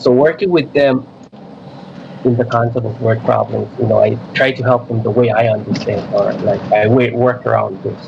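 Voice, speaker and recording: A man talks at a moderate pace while noticeable background noise goes on. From Micronesia (Chuuk). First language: not English. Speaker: middle school math teacher. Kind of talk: radio interview. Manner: halting, many repeats.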